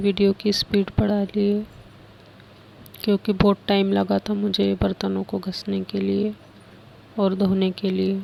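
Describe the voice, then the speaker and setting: In a dry, close sound with no echo, a woman speaks at a very slow pace. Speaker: home vlogger. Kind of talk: voice-over narration of cleaning vlog.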